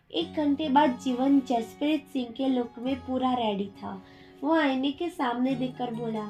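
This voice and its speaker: A woman speaks at a very slow pace in a high pitch with ordinary pitch variation. Music plays in the background. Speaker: audio story narrator. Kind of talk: read story.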